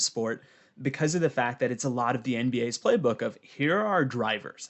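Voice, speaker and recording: This man has an ordinary speaking voice at medium pitch, moving at a fairly quick pace with lively intonation. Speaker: podcast host. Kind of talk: casual interview.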